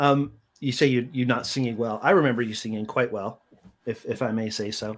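An unremarkable speaking voice moves at a fairly quick pace. Its pitch variation is ordinary. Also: man. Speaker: podcast host. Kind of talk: casual chat.

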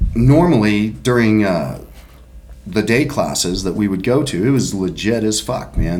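The speaker keeps a moderate pace. There is an audible room echo. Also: man. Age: 50s. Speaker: podcast host. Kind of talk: casual chat.

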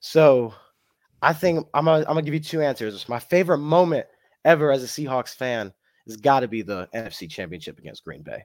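An ordinary speaking voice goes at a fairly quick pace, with lively intonation and big swings in loudness. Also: man, fairly high pitch for a man. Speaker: sports fan. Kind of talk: casual chat. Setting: video call. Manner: excitable.

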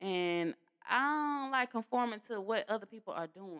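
A woman at a moderate pace with lively intonation, in a dry, close sound with no echo. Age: 30s. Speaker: podcast host. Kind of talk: casual solo podcast monologue.

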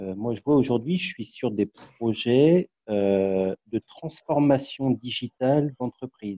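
A dark, mellow tone with ordinary pitch variation comes at a very slow pace, with hardly any pauses. The sound is dry and close, with no echo. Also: man, medium pitch for a man. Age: 40s. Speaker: project management officer. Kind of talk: group discussion.

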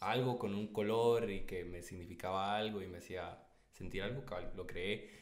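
A man with a Guatemalan accent speaks at a moderate pace, his pitch fairly low. His intonation stays fairly even, and room echo can be heard. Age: 20s. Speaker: photographer and videographer. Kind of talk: casual chat.

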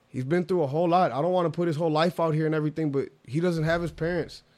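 A man's energetic, fairly high-pitched voice on a very clean recording with a silent background. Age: 20s. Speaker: actor and entrepreneur. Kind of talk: casual chat.

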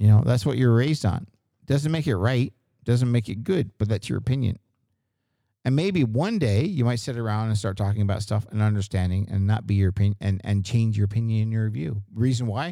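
A man's plain, everyday voice, medium in pitch, at a fairly quick pace with ordinary pitch variation. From Canada East Coast. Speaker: podcast host. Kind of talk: casual banter chat. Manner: profane, jokey.

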